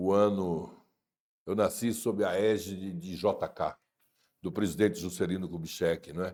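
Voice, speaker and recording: On a very clean recording with a silent background, a man with a very deep, low pitch speaks at a fairly slow pace with fairly even intonation and long, frequent pauses. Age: 60s. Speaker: writer. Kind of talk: interview. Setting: studio. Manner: hesitant fillers.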